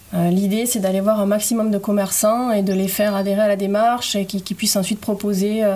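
A woman speaks at a fairly high pitch and a moderate pace. Noticeable background noise runs behind her. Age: 30s. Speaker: environmental association volunteer. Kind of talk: casual interview.

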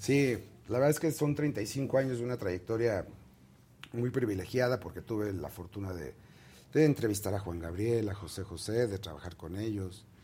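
A man with a fairly low pitch and a dark, mellow, somewhat breathy tone talks at a moderate pace, with lively intonation and big swings in loudness. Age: 50s. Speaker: entertainment columnist and publicist. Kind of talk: interview.

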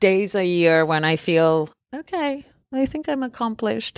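Speaking at a fairly slow pace, this voice carries a Spanish accent and very wide pitch swings. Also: woman. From Argentina. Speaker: film producer. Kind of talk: interview conversation.

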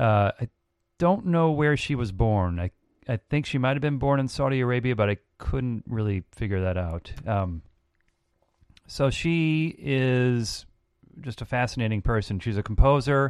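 With a plain, everyday voice, a man of medium pitch speaks at a moderate pace with lively intonation, the sound dry and close with no echo and the background quiet. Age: 40s. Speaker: musician and producer. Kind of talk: casual chat.

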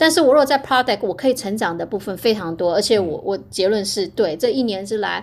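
In a normal speaking voice, the speaker goes on with hardly any pauses and lively intonation. The recording is very clean, with a silent background. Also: woman, medium pitch for a woman, fairly quick pace. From Taiwan (Hualien). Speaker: biotech product marketing director. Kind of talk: interview conversation.

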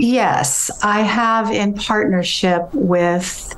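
A woman with an American accent and lively intonation, over noticeable background noise. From US. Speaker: mother of a celebrity, mental health advocate. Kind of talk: radio interview.

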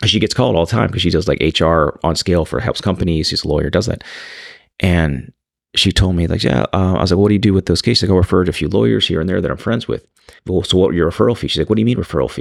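A man speaks at a very fast pace with a very deep, low pitch. His intonation is lively, and vocal fry comes through. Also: very clean recording, silent background. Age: 40s. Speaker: trial lawyer and entrepreneur. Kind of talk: casual chat.

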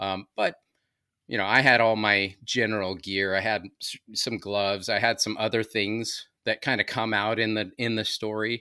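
On a very clean recording with a silent background, a man with an American accent talks at a moderate pace. His fairly low voice has a bright, sharp tone and a monotone, flat intonation. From Southern California. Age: 50s. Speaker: podcaster and preparedness advocate. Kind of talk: casual interview storytelling.

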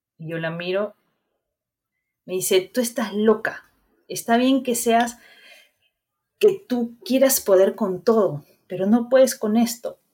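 A dark, mellow, somewhat breathy voice at a very slow pace with ordinary pitch variation. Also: woman. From Peru, Guarmey (Ancash). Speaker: cancer survivor. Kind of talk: interview, personal testimony.

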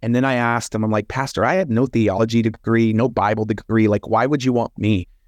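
Over a quiet background, a man with an unremarkable speaking voice and medium pitch talks at a fairly quick pace. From Texas, Hereford. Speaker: professional speaker and speaking coach. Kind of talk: interview, telling his life story.

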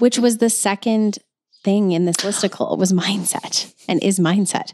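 There's a woman speaking in an ordinary speaking voice, at a moderate pace with ordinary pitch variation. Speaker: podcast host. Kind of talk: casual chat. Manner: joking, playful.

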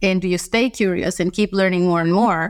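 A woman's medium-pitched voice at a moderate pace, fairly even in intonation, in a very clean recording with a silent background. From Costa Rica. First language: Spanish. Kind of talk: interview.

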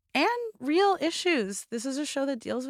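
An unremarkable speaking voice from a woman, lively in intonation and moderate in pace, in a very clean recording with a silent background and a dry, close sound with no echo. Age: 30s. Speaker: entertainment staff writer. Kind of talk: casual chat.

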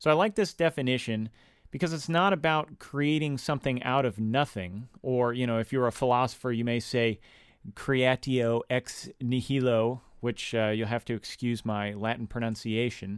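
In an unremarkable speaking voice, a man talks at a moderate pace and medium pitch with ordinary variation, the sound dry and close with no echo on a very clean recording with a silent background. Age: 20s. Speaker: podcast host, composer. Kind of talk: solo podcast monologue, teaching. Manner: casual, with frequent fillers.

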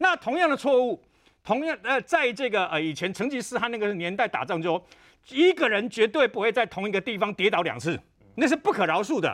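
Fast-paced and high-pitched, a man makes very wide pitch swings in a dry, close sound with no echo. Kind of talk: TV panel discussion. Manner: animated.

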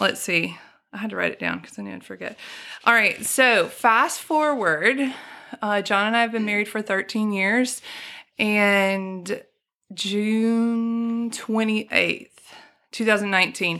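In a Southern US accent, a woman with a fairly high pitch and bright, sharp tone speaks fairly slowly, with ordinary pitch variation and big swings in loudness, on a very clean recording with a silent background. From Alabama (Birmingham), US South. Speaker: storyteller guest sharing personal testimony. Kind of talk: testimony.

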